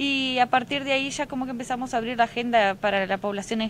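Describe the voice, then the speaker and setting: A woman talks at a fairly quick pace with fairly even intonation. The sound is dry with no echo, over light background noise. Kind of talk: interview answer. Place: street. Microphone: handheld.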